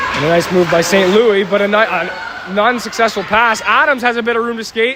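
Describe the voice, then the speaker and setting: Amid noticeable background noise, a man uses a raised, projected voice at a high pitch, speaking at a fairly quick pace with ordinary pitch variation. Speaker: amateur hockey play-by-play commentator. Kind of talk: live commentary. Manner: stumbling, self-correcting.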